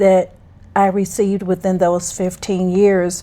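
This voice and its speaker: The speaker is a woman. She has a dark, mellow tone. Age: 70s. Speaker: podcast co-host, mother. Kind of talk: casual chat.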